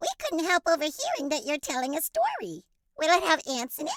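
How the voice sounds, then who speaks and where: A woman's squeaky, put-on character voice at an extremely high pitch and fairly quick pace. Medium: read story.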